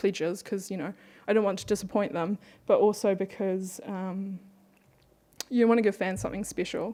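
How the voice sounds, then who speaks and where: A woman with a New Zealand accent, a dark, mellow tone, fairly even intonation and a moderate pace. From New Zealand (born in Beijing, moved at five). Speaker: webcomic artist. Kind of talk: conference panel talk.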